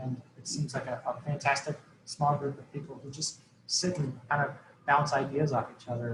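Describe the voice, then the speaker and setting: At a fairly quick pace, a man talks with monotone, flat intonation. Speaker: program evaluation consultant. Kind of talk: webinar presentation. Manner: fast.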